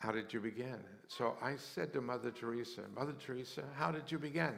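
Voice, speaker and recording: A man speaks with an American accent. His pitch varies in an ordinary way, and audible room echo surrounds the voice. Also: medium pitch for a man, fairly quick pace. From US West, rural western Colorado. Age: 70s. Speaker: mission charity founder. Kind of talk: interview testimony in church service. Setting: church service with congregation. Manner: halting, with repeated words.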